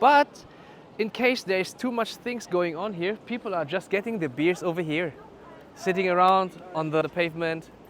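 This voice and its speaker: Male speech, high in pitch, with ordinary pitch variation and a moderate pace. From northern Germany, Lüneburg. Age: 40s. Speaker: vlogger and judoka. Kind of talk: travel vlog narration. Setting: outdoors walking through town.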